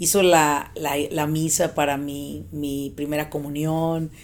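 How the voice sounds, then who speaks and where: Pitched very deep and low, a woman's voice keeps its intonation fairly even. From Mexico, Michoacán. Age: 40s. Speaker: business coach. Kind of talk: interview.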